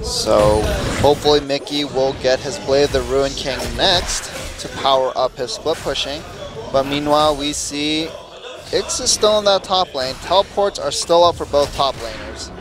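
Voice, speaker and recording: Music plays behind the speaker. He is a man with a fairly high-pitched voice. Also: ordinary pitch variation, moderate pace. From Korea. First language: Korean. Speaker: esports commentator. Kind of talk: live commentary.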